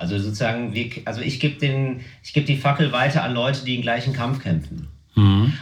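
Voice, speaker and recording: There is audible room echo as a man speaks at a moderate pace. His voice is somewhat breathy. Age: 30s. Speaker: comedian. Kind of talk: casual chat.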